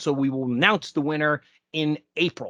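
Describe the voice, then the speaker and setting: The recording has a dry, close sound with no echo, and a man talks at a moderate pace. He has an ordinary speaking voice with a fairly high pitch. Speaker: podcast host. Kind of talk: podcast intro and hosting. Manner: upbeat.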